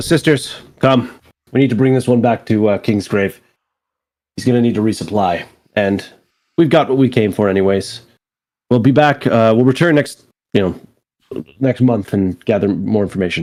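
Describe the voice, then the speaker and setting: Raspy and in a put-on character voice, the speaker moves at a moderate pace with long, frequent pauses. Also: man, medium pitch for a man. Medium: actual play. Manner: brisk, commanding.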